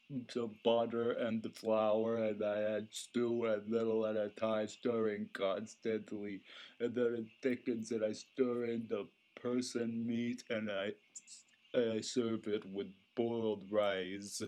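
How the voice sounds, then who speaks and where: Putting on a character voice, a man speaks at a medium pitch and a fairly slow pace in a monotone, flat intonation. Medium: audio drama. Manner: flat, casual.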